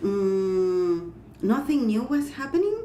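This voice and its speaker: A woman talks with a non-native accent, lively intonation and a dark, mellow tone. Room echo is audible. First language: not English. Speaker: clairvoyant and energy healer. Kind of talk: interview. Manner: halting.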